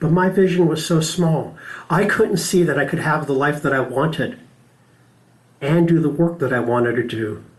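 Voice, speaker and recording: A man with an American accent, fairly high-pitched and somewhat breathy, at a moderate pace amid audible room echo. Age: 60s. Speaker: spiritual practitioner and speaker. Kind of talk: sermon.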